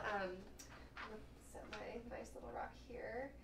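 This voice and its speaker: Noticeable background noise and audible room echo surround this woman as she talks. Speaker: counselor. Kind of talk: guided meditation. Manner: soothing.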